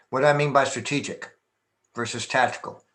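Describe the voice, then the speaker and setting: A man with a fairly high pitch and an American accent, in audible room echo. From Texas. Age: 60s. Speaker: martial arts master and business consultant. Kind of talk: conference presentation.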